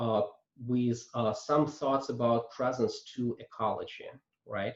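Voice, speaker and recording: This man talks with a non-native accent at a very slow pace. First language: not English. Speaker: coaching trainer. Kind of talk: lecture. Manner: halting, many fillers.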